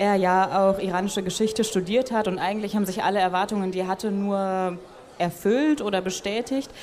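Over noticeable background noise, a woman talks very fast at a medium pitch with ordinary pitch variation. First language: German. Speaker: podcast interviewer. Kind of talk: interview with German summaries. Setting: stage at a festival.

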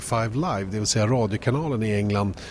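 This man speaks very fast with a Swedish accent. His pitch is medium, with ordinary variation. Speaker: podcast host. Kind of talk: casual interview. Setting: on location at a race track.

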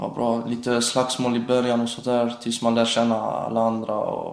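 Over noticeable background noise and audible room echo, a man talks at a moderate pace and medium pitch with monotone, flat intonation. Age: 20s. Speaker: prison inmate. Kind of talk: interview. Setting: prison visiting room.

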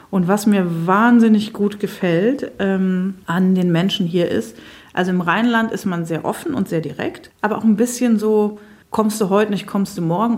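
Somewhat breathy voice at a moderate pace with ordinary pitch variation. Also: woman. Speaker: writer. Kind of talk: interview.

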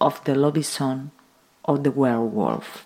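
A woman with a Spanish accent speaks at a fairly slow pace in a very deep, low voice. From Uruguay. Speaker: sound and conceptual artist. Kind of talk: scripted narration.

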